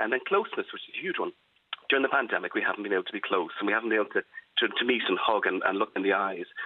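A very fast-talking man with an Irish accent. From Ireland. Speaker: psychologist. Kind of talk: radio interview.

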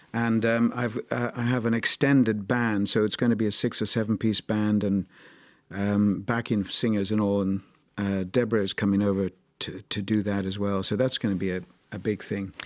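On a very clean recording with a silent background, a man with an Irish accent speaks at a moderate pace and fairly low pitch in a flat monotone. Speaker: jazz musician. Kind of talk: interview.

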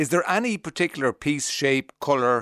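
Against a quiet background, a man with an Irish accent talks at a moderate pace with ordinary pitch variation in a dry, close sound with no echo. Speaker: radio host. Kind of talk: radio interview.

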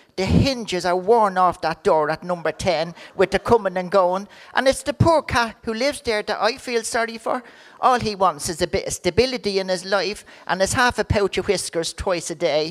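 Here a woman speaks at a medium pitch with ordinary pitch variation. Her pace is moderate, and the sound is dry and close with no echo. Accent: Irish. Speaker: comedian. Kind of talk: comic monologue.

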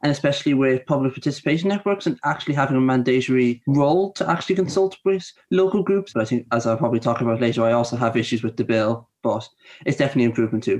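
With an Irish accent, a man talks at a very fast pace in a medium pitch. His intonation is lively and his loudness very even. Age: 20s. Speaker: youth council member. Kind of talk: panel discussion.

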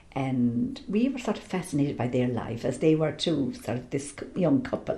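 With an Irish accent and a dark, mellow tone, a woman speaks somewhat breathily at a moderate pace, with very wide pitch swings and audible room echo. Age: 60s. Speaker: singer and theology scholar. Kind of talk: interview.

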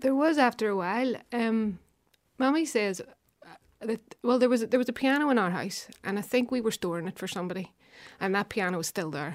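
A woman speaks with a Belfast accent at a fairly high pitch and a fairly quick pace. She leaves long, frequent pauses on a very clean recording with a silent background. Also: lively intonation. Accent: Belfast Northern Irish. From West Belfast. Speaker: harpist and composer. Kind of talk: casual radio interview. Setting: studio.

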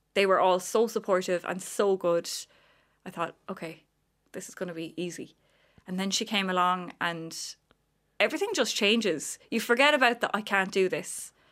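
With long, frequent pauses, a woman speaks at a moderate pace and medium pitch, using ordinary pitch variation. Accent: Cork. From Ireland, County Cork. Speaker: visually impaired advocate. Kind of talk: radio interview. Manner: animated.

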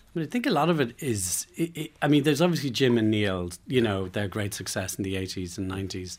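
Barely pausing, a man races along at a very fast pace with very wide pitch swings. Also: fairly low pitch for a man. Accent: Irish. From Ireland. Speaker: film producer. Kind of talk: radio interview. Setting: radio studio. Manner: halting.

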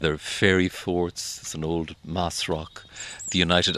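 With an Irish accent, a man speaks fairly slowly in a very deep, low voice that has a bright, sharp tone. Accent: Irish (Leitrim). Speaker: radio presenter and writer. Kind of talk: documentary narration with interviews.

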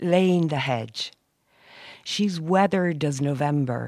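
In a dry, close recording with no echo, a woman speaks with a very deep, low pitch and ordinary pitch variation. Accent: Irish Midlands. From Ireland, County Roscommon. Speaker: poet. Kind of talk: poetry reading. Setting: community hall.

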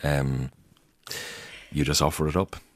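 In an Irish accent, a man with a very deep, low pitch talks at a fairly slow pace with vocal fry. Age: 40s. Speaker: Church of Ireland curate. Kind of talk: interview. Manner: halting, frequent repetitions.

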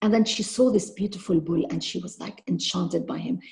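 Speaking at a moderate pace, a woman has a medium pitch, a dark, mellow tone and some vocal fry. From Lebanon. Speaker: children's author. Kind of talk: interview. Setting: video call.

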